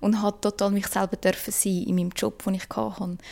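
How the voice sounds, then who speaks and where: A woman speaks with monotone, flat intonation. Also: very clean recording, silent background. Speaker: podcaster and co-creator. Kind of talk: casual chat.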